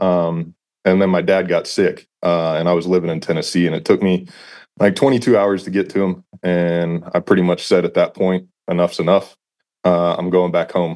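Monotone and flat in intonation, a man speaks at a very deep, low pitch. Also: moderate pace. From Texas, San Antonio area. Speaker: fire battalion chief. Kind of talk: casual interview chat.

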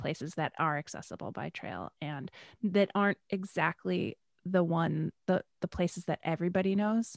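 A woman with an American accent has a plain, everyday voice, fairly low in pitch with ordinary pitch variation. She talks at a moderate pace in a dry, close sound with no echo. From Western New York. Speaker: hiking guide. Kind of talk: casual interview. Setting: video call.

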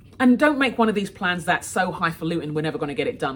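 A woman with a London accent sounds somewhat breathy as her pitch swings very widely. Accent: British English (London). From London, England. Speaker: author and leadership coach. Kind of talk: recorded talk to a moms' group.

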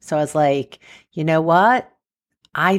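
A woman speaks at a very slow pace with a fairly low pitch, on a very clean recording with a silent background. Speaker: sex therapist podcaster. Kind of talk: solo podcast monologue.

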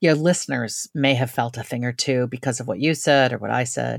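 A woman with an American accent speaks at a very deep, low pitch and a moderate pace, with vocal fry and ordinary pitch variation. The sound is dry and close with no echo, on a very clean recording with a silent background. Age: 50s. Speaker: author. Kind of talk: casual chat.

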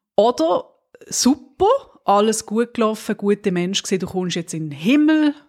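Very wide pitch swings run through a fairly high female voice with a Swiss accent. The sound is dry and close, with no echo. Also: moderate pace. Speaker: podcast co-host. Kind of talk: casual chat.

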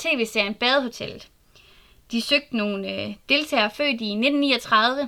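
Ordinary pitch variation in a woman's bright, sharp tone. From Southern Jutland, Denmark. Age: 20s. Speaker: podcast host and genealogist. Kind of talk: solo podcast monologue.

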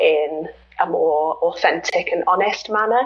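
Amid noticeable background noise, a woman speaks with a British accent. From Britain. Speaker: health coach. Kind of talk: interview. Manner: hesitant fillers.

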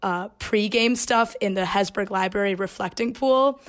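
A woman with an American accent and an unremarkable speaking voice talks at medium pitch and a moderate pace on a very clean recording with a silent background. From Chicago, Illinois. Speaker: university student intern. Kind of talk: casual chat.

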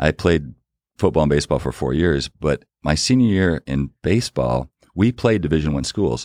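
On a very clean recording with a silent background, a man with a very deep, low pitch and vocal fry speaks at a moderate pace with lively intonation. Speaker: business executive and author. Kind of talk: interview conversation.

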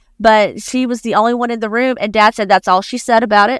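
A woman talks at a very fast pace in an Appalachian accent. The sound is dry and close with no echo, on a very clean recording with a silent background. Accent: Southern US Appalachian. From US South, northeastern Alabama (Appalachia). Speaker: writer. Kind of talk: casual chat. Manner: halting.

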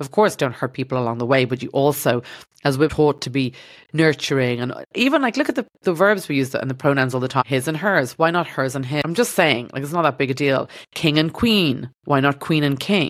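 A woman speaks with an Irish accent at a fairly quick pace. Her pitch is very deep and low, with ordinary variation. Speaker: podcast host, doctor turned stand-up comedian. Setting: studio.

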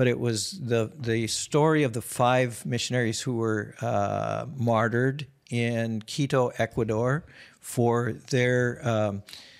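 On a very clean recording with a silent background, a man with a Minnesota accent speaks at a fairly slow pace. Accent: Minnesotan American. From US Midwest, Minnesota. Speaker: missionary and prayer movement founder. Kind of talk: casual interview.

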